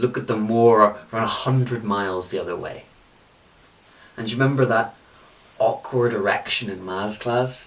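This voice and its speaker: The speaker has a Belfast accent and keeps a moderate pace with fairly even intonation. Noticeable background noise runs underneath. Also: man. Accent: Belfast Northern Irish. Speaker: spoken word poet. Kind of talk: spoken word poetry performance.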